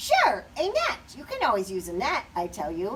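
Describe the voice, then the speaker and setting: A woman puts on a character voice at a medium pitch and a moderate pace. Loud background noise runs behind her. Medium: read story.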